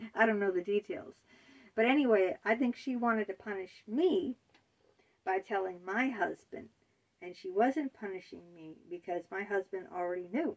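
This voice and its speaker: In a plain, everyday voice, a woman speaks at a moderate pace and medium pitch, with lively intonation, big swings in loudness and a quiet background. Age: 50s. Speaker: author and video blogger. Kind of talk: personal monologue. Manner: conversational, with fillers. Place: home room. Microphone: phone near.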